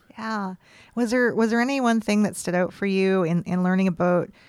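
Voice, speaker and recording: The recording is very clean, with a silent background. A woman speaks at a medium pitch with a western Canadian accent and ordinary pitch variation. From Canada, British Columbia (East Kootenays). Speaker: podcast host. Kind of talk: interview; scripted narration. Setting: studio.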